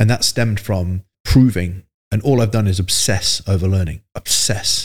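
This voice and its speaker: A somewhat breathy man's voice at a fairly low pitch, on a very clean recording with a silent background. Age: 40s. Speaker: fitness business coach. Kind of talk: casual interview.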